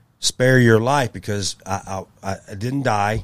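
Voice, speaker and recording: A man with a Tennessee accent talks at a very slow pace. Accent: US Southern (Tennessee). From Memphis, Tennessee. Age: 50s. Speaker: martial arts coach. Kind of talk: interview.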